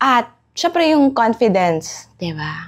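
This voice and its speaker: Moving at a very slow pace, a woman's voice makes very wide pitch swings. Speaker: vlogger. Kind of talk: casual vlog talk.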